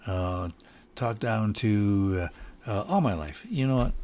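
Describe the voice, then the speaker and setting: With an American accent, a man speaks at a fairly low pitch using lively intonation. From Michigan, Detroit area. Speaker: home studio musician. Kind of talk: casual solo video talk. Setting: home studio. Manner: halting, many fillers and repeats.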